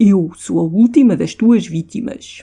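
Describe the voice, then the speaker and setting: Using a gruff put-on character voice, a man speaks at a fairly slow pace and high pitch. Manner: ominous.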